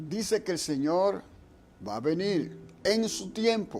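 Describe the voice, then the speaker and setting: A man speaks with very wide pitch swings. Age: 70s. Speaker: radio host of a religious program. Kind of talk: radio religious talk. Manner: halting, with frequent repetitions.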